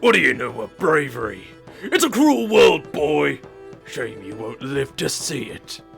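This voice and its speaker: Over clear music in the background, a man uses a put-on character voice. He sounds fairly high in pitch and moves at a moderate pace. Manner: menacing, sneering.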